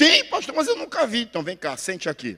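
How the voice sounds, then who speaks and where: This man talks in a raised, projected voice. His pitch swings very widely. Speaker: pastor. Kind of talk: sermon. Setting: church. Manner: loud.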